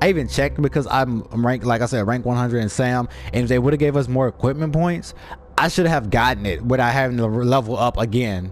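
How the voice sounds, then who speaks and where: Amid noticeable background noise, a man speaks animatedly at a very fast pace and medium pitch, with ordinary pitch variation and very even loudness. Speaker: gaming youtuber. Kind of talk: gameplay commentary. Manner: casual, animated.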